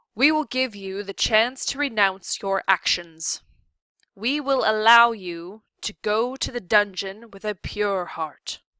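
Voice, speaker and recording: The speaker uses a put-on character voice. The pace is fairly slow. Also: woman, fairly high pitch for a woman. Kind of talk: courtroom speech. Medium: read story. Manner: stern, formal, pompous.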